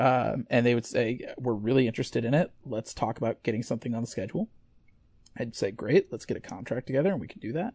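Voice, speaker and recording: At a very fast pace, a man talks with an American accent at a medium pitch. His pitch variation is ordinary, and the sound is dry and close with no echo. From US Midwest, Missouri. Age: 30s. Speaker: comic book writer. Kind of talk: podcast interview. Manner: halting, many fillers and repetitions.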